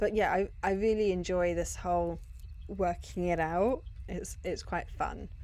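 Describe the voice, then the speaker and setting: A woman speaks fairly slowly in a British accent. Audible room echo can be heard. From Britain. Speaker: gaming youtuber. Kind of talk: casual chat.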